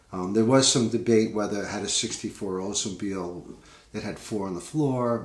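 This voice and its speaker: A man with a Long Island accent, fairly low in pitch with ordinary variation, a relaxed tone at a moderate pace, in a room with audible echo. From US Northeast, Long Island, New York. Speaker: singer-songwriter, podcast host. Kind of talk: casual talk about his songwriting. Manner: relaxed, many fillers.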